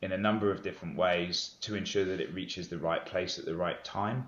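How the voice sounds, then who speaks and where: His intonation stays fairly even. This man talks with a British accent. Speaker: business executive. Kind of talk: podcast interview. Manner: frequent hesitations and fillers.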